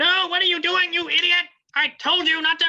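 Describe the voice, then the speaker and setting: A put-on character voice at an extremely high pitch, spoken at a moderate pace with monotone, flat intonation. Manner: scolding, angry.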